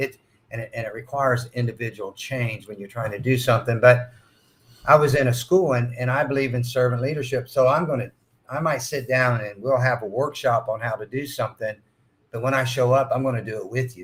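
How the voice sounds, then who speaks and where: Speaking at a fairly quick pace, a somewhat breathy man with a medium-pitched voice keeps his intonation fairly even while his loudness swings widely. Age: 60s. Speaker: school facility manager. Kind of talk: podcast interview. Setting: at a conference.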